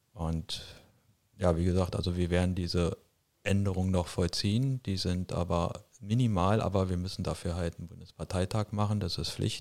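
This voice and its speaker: This man speaks at a moderate pace. His very deep, low voice keeps a fairly even intonation. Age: 50s. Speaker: party board member. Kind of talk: interview.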